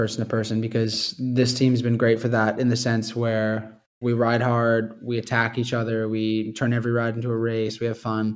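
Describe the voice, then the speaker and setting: With a Canadian accent, a man talks in an unremarkable speaking voice at medium pitch and a moderate pace, his intonation fairly even and hardly any pauses. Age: 20s. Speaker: professional cyclist. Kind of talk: casual chat.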